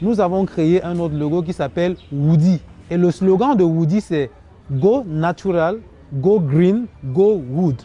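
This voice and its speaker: Speaking at a very slow pace, a man with a high pitch for a man uses ordinary pitch variation. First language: Cameroonian local language (speaking French). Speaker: woodcraft entrepreneur. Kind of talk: TV interview.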